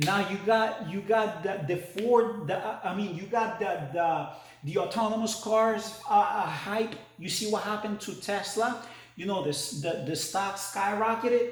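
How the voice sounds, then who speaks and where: Amid noticeable background noise and audible room echo, a man speaks at a high pitch and a fairly slow pace. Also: ordinary pitch variation. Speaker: stock market video host. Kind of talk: casual market commentary to camera. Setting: new home trading studio. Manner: halting, many repetitions and fillers.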